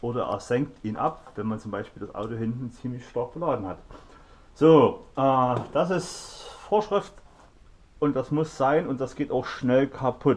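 A man's lively intonation at a fairly slow pace. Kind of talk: tutorial. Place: garage.

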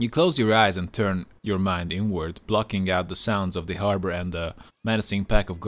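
The text is read aloud. The reading is plain.

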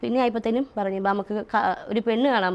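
A woman speaks at a fairly high pitch with ordinary pitch variation. It is an ordinary speaking voice. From Kerala, Kottayam district, later Chalakudy area. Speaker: social media personality. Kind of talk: interview.

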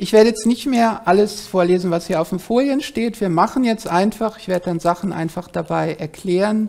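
With a dark, mellow tone, a woman speaks at a moderate pace and shows ordinary pitch variation. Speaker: professor. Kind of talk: lecture. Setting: lecture hall. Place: hall.

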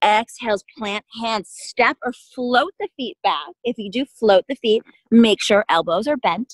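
A woman's calm, soothing voice at a fairly slow pace, with hardly any pauses, a dry sound with no echo, and a quiet background. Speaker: yoga instructor. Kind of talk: guided yoga class, cueing poses and breath in a calm, steady, encouraging voice. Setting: outdoors at a park, online class. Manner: calm, soothing, unhurried, encouraging. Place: open country.

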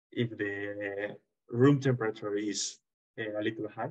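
Over a quiet background, a man speaks with a Spanish accent in a monotone, flat intonation. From Spain. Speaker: engineer, project co-director; presenter. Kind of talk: presentation; webinar panel answer. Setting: video call. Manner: halting. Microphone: webcam.

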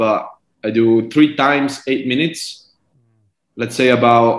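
A man with an Estonian accent speaks at a fairly slow pace with fairly even intonation. The background is quiet, though there is audible room echo. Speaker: professional cyclist; guest. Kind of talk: interview. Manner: halting. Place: home room. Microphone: video call.

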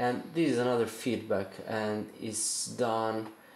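A man at a fairly slow pace with fairly even intonation, audible room echo and light background noise. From Italy. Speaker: circuit bender, instrument builder. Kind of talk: tutorial explanation to camera. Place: home room. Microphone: phone near.

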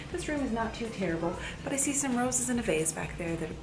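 A woman at a fairly quick pace with clear music in the background. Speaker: lifestyle vlogger. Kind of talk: casual vlog chat. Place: home room.

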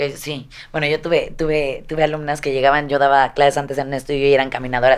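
A woman talks at a very fast pace. Her pitch is very deep and low, with monotone, flat intonation. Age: 30s. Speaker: fitness vlogger. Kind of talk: casual interview. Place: studio. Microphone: studio mic.

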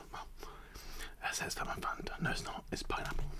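Soft-spoken whispering moves at a fairly quick pace against loud background noise. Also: man. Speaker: food video host. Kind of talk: casual mukbang chat. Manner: soft close-mic ASMR whisper. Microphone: studio mic.

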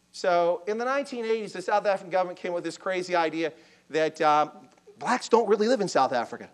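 Speaking at a fairly quick pace yet with long, frequent pauses, a man with an American accent uses a high pitch, lively intonation and an animated tone over a quiet background. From Baltimore, US. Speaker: army officer lecturing on Africa. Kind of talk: lecture. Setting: lecture hall with audience, microphone. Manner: fast. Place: hall.

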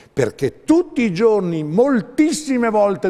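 At a fairly slow pace, a man is talking. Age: 70s. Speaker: herbalist, naturopath; guest. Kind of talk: TV interview. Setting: TV studio. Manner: animated. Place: studio. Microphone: lapel.

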